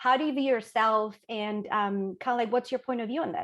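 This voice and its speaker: A Chilean accent at a moderate pace, with ordinary pitch variation and a quiet background. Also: woman. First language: Spanish. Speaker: panel moderator. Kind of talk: panel discussion.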